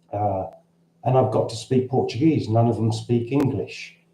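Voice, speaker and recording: A man's somewhat breathy voice has a dark, mellow tone. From London, Cockney. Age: 60s. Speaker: expat vlogger. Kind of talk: livestream Q&A. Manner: halting. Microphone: camera's built-in mic.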